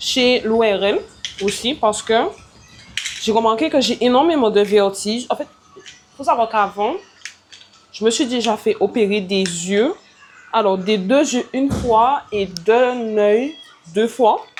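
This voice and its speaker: With long, frequent pauses and noticeable background noise, a woman speaks at a very slow pace, her pitch fairly high with ordinary pitch variation. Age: 20s. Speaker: vlogger and entrepreneur. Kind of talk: casual vlog talk to camera. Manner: loud; hesitant, many fillers.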